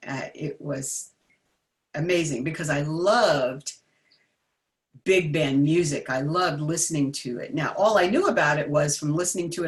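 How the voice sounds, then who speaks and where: A woman with an American accent has a very deep, low, somewhat breathy voice. She speaks at a moderate pace with ordinary pitch variation. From New Jersey, US. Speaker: jazz vocalist and vocal coach. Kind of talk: interview. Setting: livestream video.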